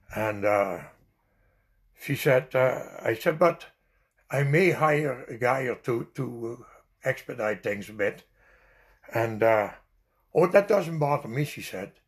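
Speaking very slowly with long, frequent pauses, a man uses a somewhat breathy, medium-pitched voice and lively intonation. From Netherlands. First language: Dutch. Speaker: immigrant storyteller. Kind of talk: life story interview.

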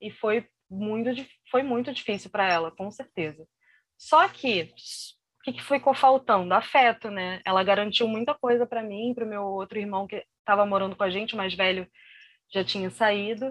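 Ordinary pitch variation in a woman's voice, set against a quiet background. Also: medium pitch for a woman, moderate pace. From Brazil, Rio de Janeiro. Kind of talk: interview, personal testimony. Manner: halting, many fillers and repetitions.

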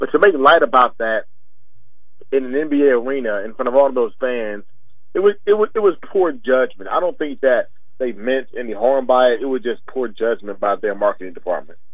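A man with an ordinary speaking voice talks at a moderate pace, his medium pitch carried by lively intonation. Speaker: sports commentator segment guest. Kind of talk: casual sports commentary.

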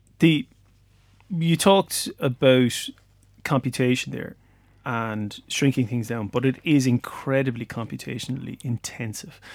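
In a very clean recording with a silent background, a man with an Irish accent speaks fairly slowly at a medium pitch with ordinary pitch variation. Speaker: podcast host and lecturer. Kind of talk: casual interview chat. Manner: jokey, light-hearted.

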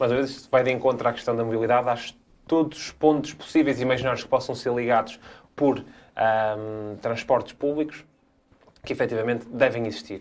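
A man uses a normal speaking voice of medium pitch, with ordinary pitch variation and a fairly quick pace. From northern Portugal, Guimarães. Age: 20s. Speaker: politician, parliamentary candidate. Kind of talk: political debate.

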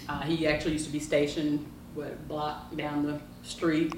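A woman with a very deep, low pitch talks at a moderate pace in monotone, flat intonation, with audible room echo and noticeable background noise. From Tennessee, Memphis. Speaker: cigar shop owner. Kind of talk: casual interview. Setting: cigar lounge.

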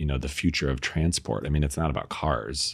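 A man with a very deep, low voice and vocal fry speaks at a fairly quick pace in a very clean recording with a silent background. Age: 40s. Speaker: tech company founder. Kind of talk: casual chat.

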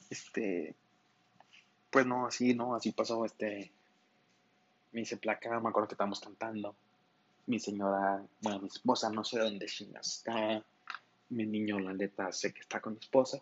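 A man speaks in a monotone with flat intonation. He leaves long, frequent pauses. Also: moderate pace. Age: 20s. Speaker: podcast host. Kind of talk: casual monologue. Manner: halting.

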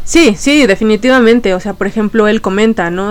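A woman's voice, fairly high in pitch. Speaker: podcast host. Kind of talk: casual chat.

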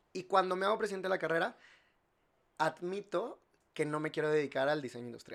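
A high-pitched man talking at a very fast pace, with ordinary pitch variation and long, frequent pauses. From Mexico, Monterrey. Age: 30s. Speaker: industrial designer and entrepreneur. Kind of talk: casual chat.

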